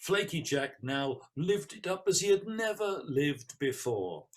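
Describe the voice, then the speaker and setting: The man's pitch swings very widely and his voice is somewhat breathy. He talks at a very slow pace. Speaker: storyteller. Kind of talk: oral folk-tale storytelling to an audience.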